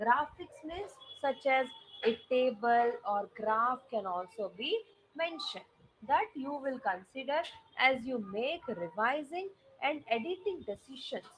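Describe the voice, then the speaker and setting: A woman talks at a fairly slow pace in a high voice. Her pitch swings very widely. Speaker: SAT English teacher. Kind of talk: online lecture. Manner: loud.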